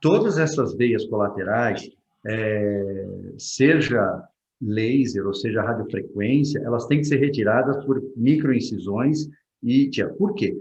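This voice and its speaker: Audible room echo surrounds a man speaking very slowly at a medium pitch, his voice somewhat breathy. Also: lively intonation. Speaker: vascular surgeon. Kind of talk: Q&A talk.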